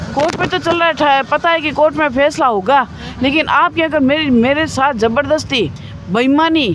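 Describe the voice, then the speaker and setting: A woman's high voice at very even loudness, ordinary pitch variation, and noticeable background noise. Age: 60s. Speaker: protester. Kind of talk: interview. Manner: emotional.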